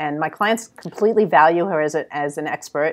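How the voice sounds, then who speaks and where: With a New York accent, a woman speaks at a fairly low pitch with ordinary pitch variation. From New York City. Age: 60s. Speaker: creative business consultant. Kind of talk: interview. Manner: direct.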